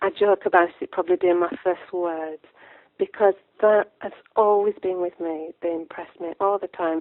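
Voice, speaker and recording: Speaking with a Lancashire accent, a woman keeps a medium pitch. Her intonation is monotone and flat, and her pace moderate. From northern England, Lancashire. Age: 60s. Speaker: author. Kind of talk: interview. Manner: halting.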